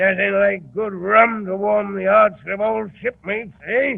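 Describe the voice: In a put-on character voice with vocal fry, the speaker goes at a slow pace with ordinary pitch variation. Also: man.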